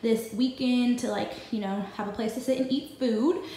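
A woman speaks with audible room echo. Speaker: vlogger. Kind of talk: casual vlog chat. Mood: upbeat, pleased. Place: home room. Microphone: phone near.

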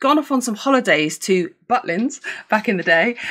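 Lively intonation and a fairly bright tone mark this woman's medium-pitched voice.

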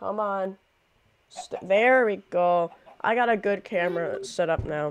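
The pace is fairly slow. Light background noise sits behind the voice. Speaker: video game streamer. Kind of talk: casual gameplay stream chat. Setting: live webcam stream at a computer. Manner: animated. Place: home room.

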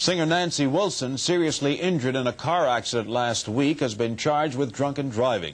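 At a fairly quick pace, a man with a normal speaking voice and medium pitch talks with lively intonation. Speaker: television news co-anchor. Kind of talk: television news anchor delivery. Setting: 1970s broadcast TV news recording.

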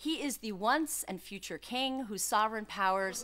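A woman with a New York accent speaks with lively intonation and a bright, sharp tone over light background noise. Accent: New York American. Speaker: law professor. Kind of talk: conference talk. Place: hall.

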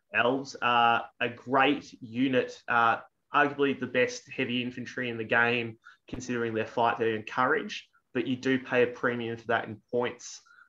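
In an Australian accent, a man speaks at a medium pitch with a bright, sharp tone and monotone, flat intonation. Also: moderate pace. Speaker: tabletop wargaming tournament player; channel host. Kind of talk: casual chat. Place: home room. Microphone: video call.

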